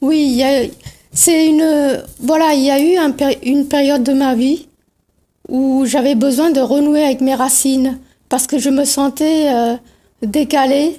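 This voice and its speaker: Speaking in a Tamil accent at a fairly slow pace, a woman has a high pitch, a dark, mellow tone, flat, monotone intonation, very even loudness and long, frequent pauses. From India, Pondicherry. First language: Tamil (speaking French). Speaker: novelist. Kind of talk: TV interview.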